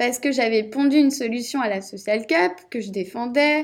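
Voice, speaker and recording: The delivery is at a fairly slow pace, with ordinary pitch variation. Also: woman. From Brittany, Rennes. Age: 20s. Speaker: entrepreneur. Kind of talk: interview.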